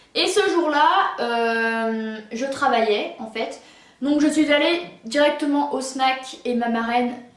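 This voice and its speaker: With audible room echo, a woman speaks in a high pitch and fairly even intonation. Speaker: YouTuber. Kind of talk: personal story vlog. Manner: stuttering, halting.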